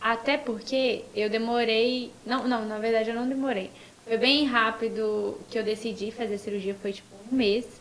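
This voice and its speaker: Noticeable background noise sits under a woman's voice. She talks at a moderate pace in a monotone, flat intonation. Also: fairly high pitch for a woman. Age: 20s. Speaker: influencer and psychology student. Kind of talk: casual chat.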